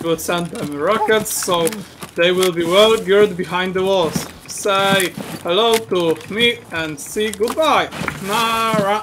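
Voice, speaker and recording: A high-pitched man with a Polish accent speaks very slowly through noticeable background noise. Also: ordinary pitch variation. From Poland. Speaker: gamer. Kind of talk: casual game chat.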